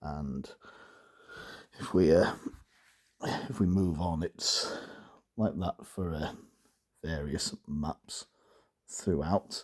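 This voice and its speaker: A man with a very deep, low voice speaks at a very slow pace, with ordinary pitch variation and long, frequent pauses, in a dry, close recording with no echo. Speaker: dialect enthusiast, book reviewer. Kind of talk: casual book review. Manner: hesitant, many fillers.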